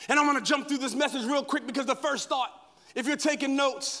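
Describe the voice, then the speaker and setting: A man talks in an extremely high pitch, his voice raised and projected. The tone is animated, bright and sharp. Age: 40s. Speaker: guest pastor. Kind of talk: sermon. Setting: stage with audience.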